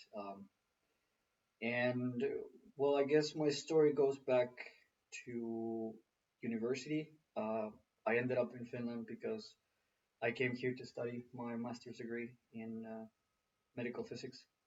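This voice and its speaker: A man with a Spanish accent talks at a fairly slow pace in a flat, monotone delivery. His loudness swings widely, and he leaves long, frequent pauses. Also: medium pitch for a man. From Mexico, Mexico City. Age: 20s. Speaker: engineer. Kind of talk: interview.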